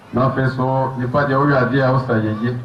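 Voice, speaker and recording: Amid noticeable background noise and audible room echo, a man with a fairly high pitch talks at a very slow pace. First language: Brong (Abron) (speaking French). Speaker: community speaker at official ceremony. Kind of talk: formal speech. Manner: formal.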